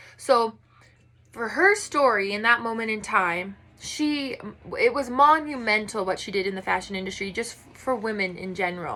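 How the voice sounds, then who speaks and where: This woman's voice has a bright, sharp tone and a fairly high pitch. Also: ordinary pitch variation, big swings in loudness. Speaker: student. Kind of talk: class presentation. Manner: fast.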